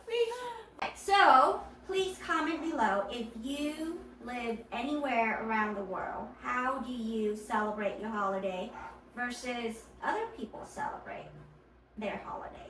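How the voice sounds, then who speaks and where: Over noticeable background noise and audible room echo, a woman speaks at a fairly slow pace with a high pitch and lively intonation. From Vietnam. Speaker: podcast host. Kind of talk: casual chat.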